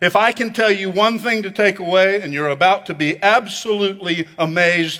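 Projecting a raised voice, a man speaks at a moderate pace with a high, bright, sharp tone and ordinary pitch variation. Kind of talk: sermon. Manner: animated, building to a dramatic, rhetorical pitch; call-and-response, urging the congregation to repeat lines loudly.

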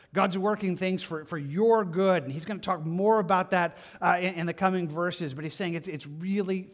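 The delivery is an unforced reading voice.

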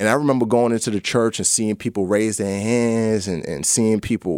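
Speaking at a fairly quick pace with a New York accent, a man is heard in a dry, close sound with no echo on a very clean recording with a silent background. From New York (the Bronx). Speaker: actor and former navy trainee sharing his faith story. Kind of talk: testimony. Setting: studio.

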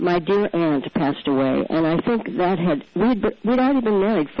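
Against noticeable background noise, a woman speaks at a moderate pace with lively intonation. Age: 60s. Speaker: adoptive mother and columnist. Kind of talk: interview.

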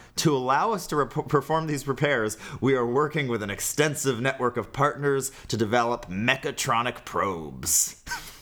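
The speaker has an American accent and talks at a moderate pace with hardly any pauses. Noticeable background noise runs underneath. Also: man, medium pitch for a man, ordinary pitch variation. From California. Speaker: podcast co-host. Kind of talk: casual comedic chat.

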